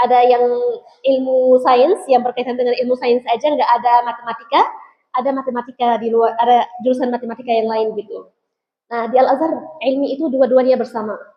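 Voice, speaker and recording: Speaking in an Arabic accent, a woman has a high voice, fairly even intonation and a fairly quick pace. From Egypt. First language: Arabic (speaking Indonesian). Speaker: Islamic preacher. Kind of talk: religious talk to students. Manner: casual, conversational.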